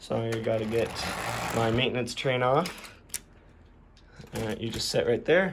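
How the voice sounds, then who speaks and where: The recording has audible room echo, and a man speaks with long, frequent pauses. His pace is moderate, his pitch medium, with ordinary pitch variation. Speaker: model railroad hobbyist YouTuber. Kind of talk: casual layout tour.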